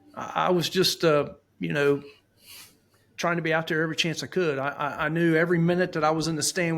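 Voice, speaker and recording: A man at a very fast pace, fairly high in pitch, with a monotone, flat intonation and an American accent. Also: very clean recording, silent background. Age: 50s. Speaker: deer hunter. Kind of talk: casual podcast interview.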